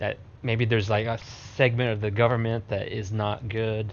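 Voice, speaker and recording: At a moderate pace, a man talks in an ordinary speaking voice at medium pitch. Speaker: podcast co-host. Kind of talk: casual chat.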